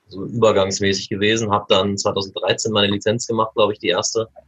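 A man speaks in an ordinary speaking voice. His pitch is fairly low and his intonation fairly even. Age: 20s. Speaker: youth table tennis coach. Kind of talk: podcast interview.

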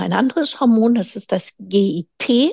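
A woman's somewhat breathy voice with a dark, mellow tone and fairly high pitch, dry and close with no echo, against a quiet background. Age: 50s. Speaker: physician specializing in nutritional medicine. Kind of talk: interview.

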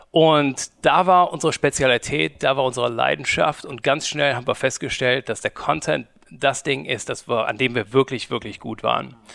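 A man talks at a medium pitch and a moderate pace with vocal fry, ordinary pitch variation and hardly any pauses, in a dry, close sound with no echo. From Germany, Cologne. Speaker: media company founder. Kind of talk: interview. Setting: studio. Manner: halting.

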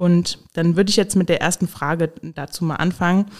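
This woman's voice sits fairly low in pitch. She talks at a fairly quick pace in a monotone, flat intonation. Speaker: podcast host. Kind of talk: casual interview.

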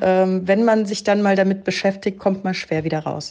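A plain, everyday voice at a fairly quick pace. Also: woman. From Germany, Heidelberg. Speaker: graphic designer and art director. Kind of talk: podcast interview.

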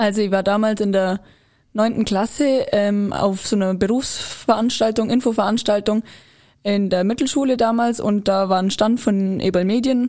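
A woman's dark, mellow tone at a fairly high pitch, moderate pace, fairly even intonation and very even loudness. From Allgäu, Bavaria. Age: young. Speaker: trained sales assistant. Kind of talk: interview.

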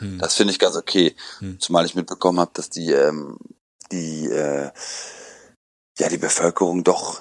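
Speaking at a fairly slow pace, a man delivers his words in a very deep, low pitch with a monotone, flat intonation. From Germany, Aachen. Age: 30s. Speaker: person in home quarantine. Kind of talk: interview. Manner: hesitant, many filler sounds.

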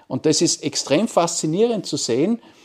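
On a very clean recording with a silent background, a man with a high pitch speaks at a fairly slow pace and with lively intonation. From Austria, Carinthia (Wolfsberg). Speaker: marketing professor. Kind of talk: interview. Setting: university campus.

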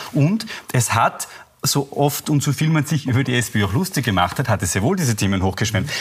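Very wide pitch swings at a fairly quick pace. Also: man, medium pitch for a man, very even loudness. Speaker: journalist. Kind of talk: TV panel discussion. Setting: TV studio.

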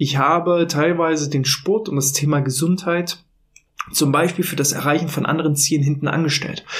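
This man has a normal speaking voice with a fairly high pitch. He talks at a fairly quick pace with fairly even intonation. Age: 30s. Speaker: podcast host on workplace health management. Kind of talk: solo podcast monologue. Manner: casual with filler words.

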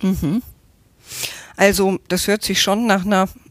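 A woman speaks at a moderate pace and medium pitch, the sound dry and close with no echo. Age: 50s. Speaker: interviewer. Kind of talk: interview.

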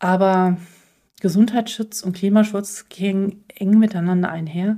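A woman's dark, mellow, somewhat breathy tone with fairly even intonation. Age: 40s. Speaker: podcast host, physician. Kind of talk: solo podcast monologue. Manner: hesitant with fillers.

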